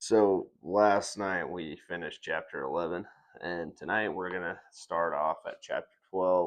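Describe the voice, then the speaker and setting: This is a man talking. He goes at a very slow pace. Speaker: podcast host reading the Bible. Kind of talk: casual Bible reading podcast. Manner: monotone; hesitant, many fillers.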